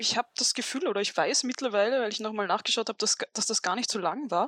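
A woman with an Austrian accent speaks at a very fast pace, with a fairly high pitch and ordinary pitch variation, in dry, close sound with no echo. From Upper Austria. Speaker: author. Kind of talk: interview, storytelling.

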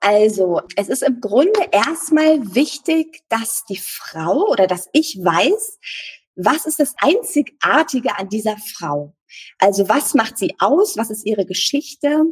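Very wide pitch swings mark speech that unfolds at a very slow pace. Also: woman, fairly high pitch for a woman. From northern Germany (Eckernförde, Baltic coast). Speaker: photographer. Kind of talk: interview.

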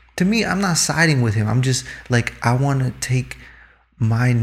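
This man's voice sits at a medium pitch. It comes out somewhat breathy. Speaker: podcast guest. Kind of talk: casual banter chat.

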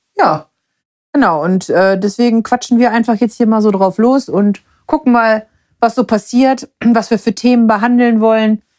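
A woman with a plain, everyday voice and a fairly high pitch speaks at a moderate pace with ordinary pitch variation and very even loudness, in a dry, close sound with no echo. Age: 30s. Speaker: podcast co-host. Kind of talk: casual chat.

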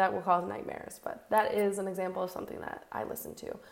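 There is noticeable background noise as a woman talks at a very fast pace. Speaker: podcast host. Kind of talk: solo podcast monologue. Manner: casual, conversational.

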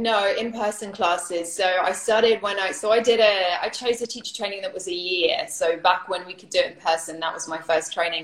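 A woman with a British accent and medium pitch talks at a fairly quick pace with hardly any pauses. Her loudness swings widely, her pitch varies ordinarily, and background noise is noticeable. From United Kingdom. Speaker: yoga teacher. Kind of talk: casual interview on Instagram Live. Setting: Instagram Live video stream.

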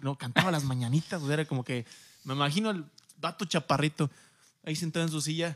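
Taking long, frequent pauses, a man talks at a very fast pace with a fairly high pitch in a dry, close sound with no echo. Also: ordinary pitch variation. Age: 20s. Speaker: podcast co-host. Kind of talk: casual chat.

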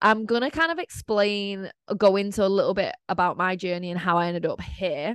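In a Mancunian accent, the speaker uses ordinary pitch variation, and the sound is dry and close with no echo. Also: woman. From Manchester, England. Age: 20s. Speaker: podcast host and mindset coach. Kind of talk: casual solo monologue.

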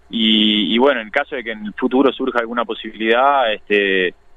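A man with a normal speaking voice talks at a medium pitch and with fairly even intonation. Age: 30s. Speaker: professional footballer. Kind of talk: radio phone interview.

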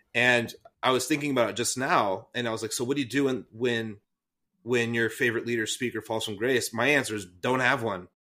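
A man with an American accent, a normal speaking voice and medium pitch, fairly quick in pace with fairly even intonation. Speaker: podcast co-host, former youth pastor. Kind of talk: casual chat.

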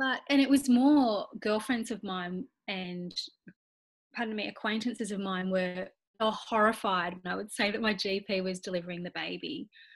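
A woman at medium pitch with an Australian accent, moderate pace and ordinary pitch variation. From Australia, Nowra NSW. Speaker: occupational therapist and mother. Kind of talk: interview, personal birth story.

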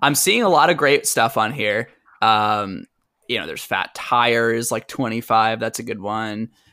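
With an American accent, a man speaks at a moderate pace and medium pitch, his tone bright and sharp, his pitch variation ordinary, on a very clean recording with a silent background. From Boston. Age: 20s. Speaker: podcast guest, employee of the hosts. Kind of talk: casual chat.

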